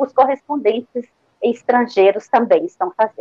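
Her pitch is high for a woman, with lively intonation. The sound is dry and close, with no echo. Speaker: journalists' union president. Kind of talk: interview. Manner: formal.

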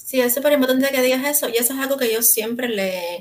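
Her intonation fairly even, a woman speaks at a very fast pace. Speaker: real estate agent, podcast co-host. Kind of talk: casual chat. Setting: live stream.

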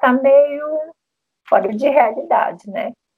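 This woman speaks fairly slowly. Her tone comes across as dark and mellow. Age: 60s. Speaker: retired physician. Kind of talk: interview panel discussion. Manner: halting.

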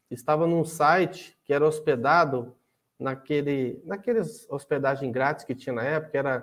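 In a very clean recording with a silent background, a man with a plain, everyday voice speaks fairly slowly at a fairly high pitch. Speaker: podcast host. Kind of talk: casual interview.

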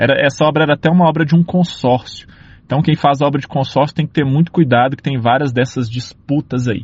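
Fairly quick and somewhat breathy, a man speaks in a fairly high pitch with fairly even intonation and very even loudness. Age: 30s. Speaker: civil engineer. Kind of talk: casual monologue.

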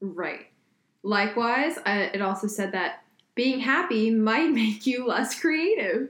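Very slowly, a woman talks with lively intonation. Her voice sits at a fairly high pitch. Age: 20s. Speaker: podcast co-host. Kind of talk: casual chat. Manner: animated.

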